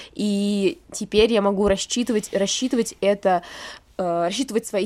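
Her voice sits at a medium pitch with ordinary variation. The woman speaks at a moderate pace. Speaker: podcast co-host. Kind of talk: casual chat. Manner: sad-sounding.

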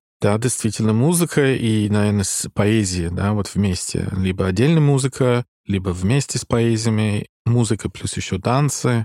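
With an English accent, a man speaks at a moderate pace and fairly low pitch with ordinary pitch variation and a dark, mellow tone, in a dry, close sound with no echo on a very clean recording with a silent background. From Ireland, Dublin. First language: English (speaking Russian). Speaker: musician. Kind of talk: casual chat.

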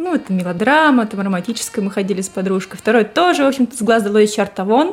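A woman with fairly high pitch and lively intonation, music playing in the background. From Russia, Saint Petersburg. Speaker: host's wife, guest. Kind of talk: casual chat.

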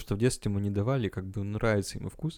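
A man with a dark, mellow tone talks at a very fast pace. The recording is very clean, with a silent background. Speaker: podcast co-host, student. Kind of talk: casual chat.

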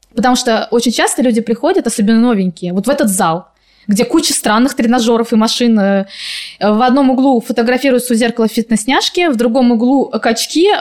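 This woman has a high pitch and talks at a fairly quick pace. Her pitch varies in an ordinary way, and her loudness stays very even. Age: 30s. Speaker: sports psychologist. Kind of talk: casual chat.

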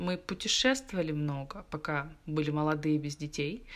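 A woman talks at a moderate pace with ordinary pitch variation in a normal speaking voice. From Russia, Moscow and Chelyabinsk. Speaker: architect. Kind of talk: casual chat.

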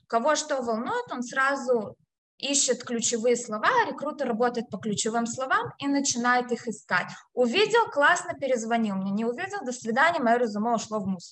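A woman talks at a moderate pace with high pitch and lively intonation. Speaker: HR specialist and career consultant. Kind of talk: interview, career advice.

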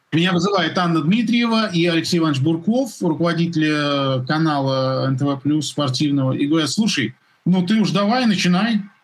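Lively intonation at a moderate pace, with very even loudness. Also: man, high pitch for a man. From Russia, Moscow. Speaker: sports commentator. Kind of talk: casual chat. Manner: animated.

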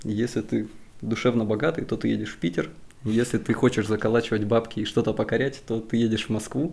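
Speaking at a fairly quick pace, a man with a medium-pitched voice shows vocal fry and ordinary pitch variation. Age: 20s. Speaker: civil engineer. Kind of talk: casual chat.

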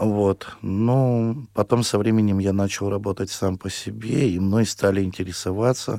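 Recorded very cleanly against a silent background, a man with a dark, mellow tone and fairly low pitch speaks at a fairly slow pace. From Russia, Perm region. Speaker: singer. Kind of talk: radio interview. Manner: halting.

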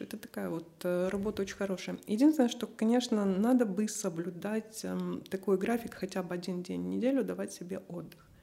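A dark, mellow tone carries speech delivered at a fairly quick pace. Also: woman. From Moldova. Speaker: writer. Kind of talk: casual chat. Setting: studio.

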